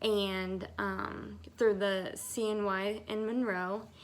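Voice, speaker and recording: In a room with audible echo, a woman speaks with an American accent at a medium pitch. Her tone is bright and sharp, her intonation monotone and flat. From US South, Georgia. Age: 30s. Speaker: IVF patient. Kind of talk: testimony.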